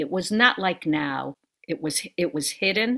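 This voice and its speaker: A woman speaks with lively intonation on a very clean recording with a silent background. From Brooklyn, New York. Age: 60s. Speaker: author and actor. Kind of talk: interview. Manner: halting.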